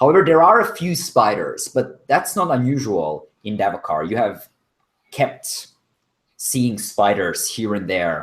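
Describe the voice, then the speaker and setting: A man with a non-native accent at a fairly slow pace, his pitch swinging very widely. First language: not English. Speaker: game master. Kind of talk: tabletop role-play narration.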